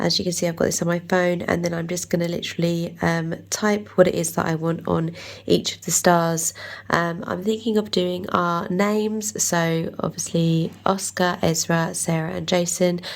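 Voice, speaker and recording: This woman has a fairly low voice and speaks with an English accent. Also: fairly even intonation, moderate pace. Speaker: craft YouTuber. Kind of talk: tutorial. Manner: casual, many fillers.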